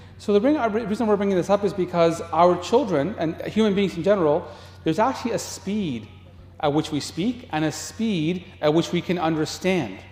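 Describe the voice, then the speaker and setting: A man talks with lively intonation. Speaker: parenting workshop presenter, teacher. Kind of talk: workshop lecture. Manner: fast.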